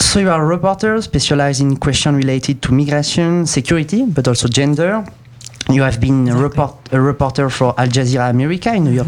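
A man speaks very fast with a French accent and lively intonation. His pitch is fairly high, and there is noticeable background noise. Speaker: student radio host. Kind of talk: radio presenting; interview.

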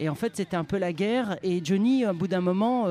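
Dark, mellow tone with lively intonation, on a very clean recording with a silent background. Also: man. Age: 40s. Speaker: radio show co-host. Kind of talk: casual chat. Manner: halting.

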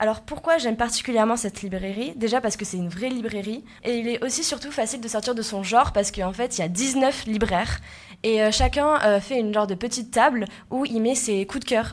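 Here a woman talks in a plain, everyday voice at a fairly high pitch. Her pace is fairly quick, with ordinary pitch variation. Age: 20s. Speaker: student podcast host. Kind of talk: casual discussion.

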